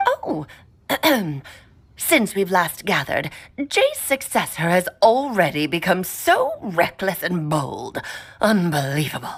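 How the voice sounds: Using a put-on character voice, a woman speaks at a medium pitch and a fairly slow pace with long, frequent pauses.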